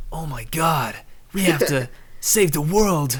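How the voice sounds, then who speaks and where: In a put-on character voice with an American accent, the speaker talks breathily at a middle pitch and a fairly slow pace. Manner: overdramatic, earnest.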